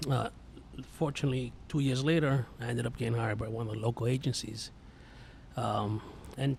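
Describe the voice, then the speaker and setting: A man with a New York accent talks at a fairly quick pace, somewhat breathy, with a medium pitch. His intonation stays fairly even. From New York (Yonkers). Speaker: police instructor, Marine veteran. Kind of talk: casual podcast chat.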